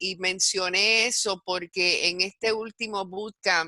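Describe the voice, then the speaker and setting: A woman with a Puerto Rican accent and a bright, sharp tone, very slow in pace, in a dry, close sound with no echo on a very clean recording with a silent background. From Puerto Rico. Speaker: university educator in advertising. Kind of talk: interview presentation. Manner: halting, many fillers.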